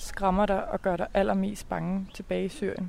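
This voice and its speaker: The pace is fairly slow. It's a woman speaking. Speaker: podcast reporter. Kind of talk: interview. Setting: outdoors.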